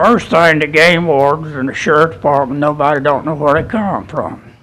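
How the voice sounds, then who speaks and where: There is noticeable background noise as a man with an American accent speaks at a fairly high pitch. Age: 70s. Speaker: public commenter. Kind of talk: public comment at government meeting.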